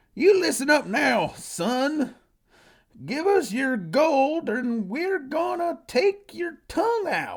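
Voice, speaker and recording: Putting on a character voice, a man speaks very slowly in a raised, projected voice at an extremely high pitch. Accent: strong Southern US. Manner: threatening.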